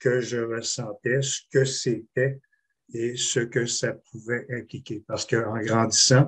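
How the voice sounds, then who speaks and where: A somewhat breathy voice at a very slow pace. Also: man. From Quebec City. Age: 60s. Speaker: panelist, swimming coach. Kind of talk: testimony. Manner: halting.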